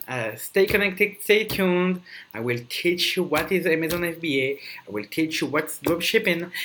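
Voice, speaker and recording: A man's high-pitched voice with lively intonation and a bright, sharp tone. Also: moderate pace. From Belgium. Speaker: podcast host, network marketing entrepreneur. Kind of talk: solo podcast monologue.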